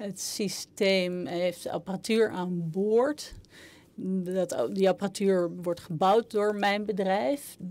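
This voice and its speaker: Delivery is very slow, and the pitch varies in an ordinary way. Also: woman, medium pitch for a woman. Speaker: interpreter. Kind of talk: simultaneous interpretation. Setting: parliamentary hearing room. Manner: halting.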